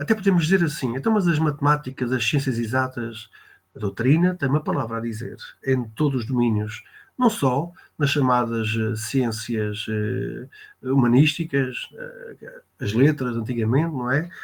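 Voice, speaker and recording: Speaking with a European Portuguese accent, a man uses a medium pitch and ordinary pitch variation. His somewhat breathy voice moves at a moderate pace. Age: 60s. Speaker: spiritist speaker, reserve military officer. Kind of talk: talk on spiritism in an online interview. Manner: hesitant, many filler sounds.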